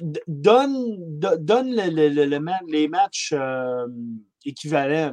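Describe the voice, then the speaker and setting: Speaking at a very slow pace, a man uses lively intonation and a fairly high pitch. His loudness swings widely. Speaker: hockey podcast co-panelist. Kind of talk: casual chat.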